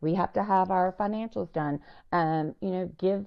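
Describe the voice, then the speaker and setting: With a Southern US accent, a woman speaks at a moderate pace. Her voice sits fairly low and shows ordinary pitch variation. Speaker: nonprofit founder. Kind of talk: podcast interview. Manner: animated.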